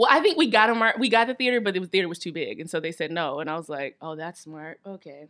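A woman with an American accent at a very fast pace, lively in intonation, with hardly any pauses. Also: medium pitch for a woman. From US South, Atlanta, Georgia. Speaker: musical theatre actress. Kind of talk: casual chat.

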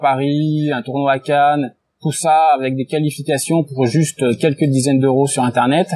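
In an unremarkable speaking voice, a man talks at a fairly slow pace with a fairly high pitch and fairly even intonation. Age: 30s. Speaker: sports betting tipster. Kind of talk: casual interview.

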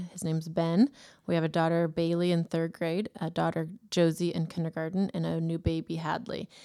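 The voice has a dark, mellow tone and fairly even intonation, moving at a fairly quick pace. The recording is very clean, with a silent background. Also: woman, fairly low pitch for a woman. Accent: American. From Northern California (Davis). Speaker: wedding venue owner and school parent. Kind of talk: interview.

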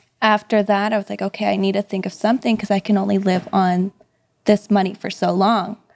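A woman with a normal speaking voice talks at a moderate pace with fairly even intonation, in a dry, close sound with no echo. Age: 30s. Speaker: real estate agent. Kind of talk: casual interview chat.

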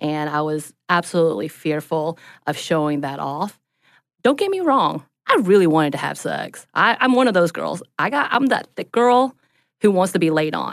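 With a Southern US accent, the voice moves at a moderate pace through very wide pitch swings. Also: woman, fairly low pitch for a woman. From US South, North Georgia mountains. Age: 30s. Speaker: social worker. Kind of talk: casual chat.

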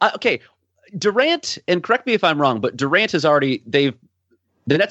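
Vocal fry runs through this man's voice. His pitch sits fairly high. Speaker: guest basketball commentator. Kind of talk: casual chat. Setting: video call.

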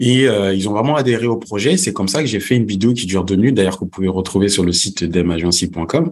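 Talking at a fairly quick pace, a man has an unremarkable speaking voice, fairly low in pitch, with ordinary pitch variation. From Senegal, came to France at 11. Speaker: entrepreneur, networking expert. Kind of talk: podcast interview.

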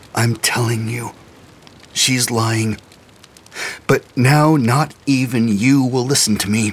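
A man puts on a strained character voice at a medium pitch, speaking at a fairly slow pace with long, frequent pauses and fairly even intonation.

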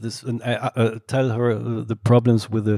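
Speaking with a German accent at a moderate pace, a man of medium pitch has a dark, mellow tone in a dry, close sound with no echo. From Germany, Solingen. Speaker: film director. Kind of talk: on-stage Q&A conversation. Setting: stage with audience. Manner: halting.

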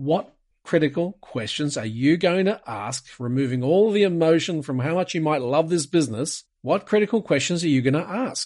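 With an Australian accent, a man talks at a fairly high pitch, with hardly any pauses. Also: lively intonation, moderate pace. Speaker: private equity investor. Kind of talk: interview. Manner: direct, to the point.

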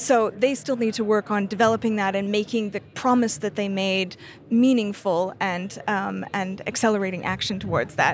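The voice belongs to a woman with a Canadian accent. She speaks at a moderate pace. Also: medium pitch for a woman, fairly even intonation, hardly any pauses. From Canada. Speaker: energy policy analyst. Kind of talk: interview. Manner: halting, many fillers and restarts.

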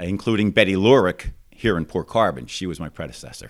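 With an American accent, a man speaks in a very deep, low voice with vocal fry and lively intonation, on a very clean recording with a silent background. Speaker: district judge. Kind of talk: casual interview. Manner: fluent storyteller.

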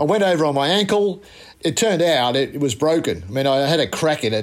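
An Australian accent at a fairly quick pace, with lively intonation. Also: man. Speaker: former cricket fast bowler. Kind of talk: interview recollection.

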